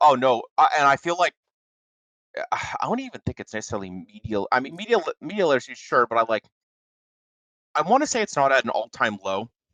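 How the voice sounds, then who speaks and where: A loud, bright, sharp voice with vocal fry races at a very fast pace through very wide pitch swings. Long, frequent pauses break it up, and the sound is dry and close with no echo. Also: man, fairly high pitch for a man. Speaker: podcast co-host. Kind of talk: casual chat. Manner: animated.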